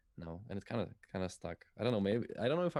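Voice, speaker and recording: At a fairly quick pace, a man with a Polish accent speaks in a dark, mellow tone on a very clean recording with a silent background. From Poland. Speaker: musician and streamer. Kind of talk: casual interview chat. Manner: halting.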